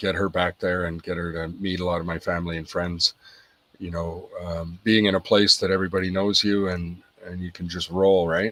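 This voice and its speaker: A man talks at a moderate pace with a slight Irish accent. His pitch is very deep and low. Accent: slight Irish twang. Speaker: podcast guest, business owner. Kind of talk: casual interview chat. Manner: hesitant, many fillers.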